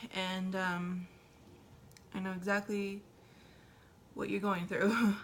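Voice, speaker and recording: Very slowly and in a monotone, flat intonation, a woman speaks at a medium pitch, her voice somewhat breathy. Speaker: tarot reader. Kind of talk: tarot reading. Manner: hesitant, many fillers.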